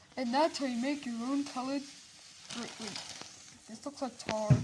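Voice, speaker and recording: With noticeable background noise behind her, a woman talks at a high pitch. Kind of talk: parody infomercial how-to talk to camera. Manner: casual, excitable.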